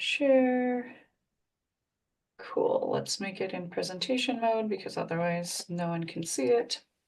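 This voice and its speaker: A woman speaks in a plain, everyday voice with lively intonation. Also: fairly high pitch for a woman, fairly slow pace. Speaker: tech coach. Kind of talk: live webinar tutorial. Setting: live stream video call.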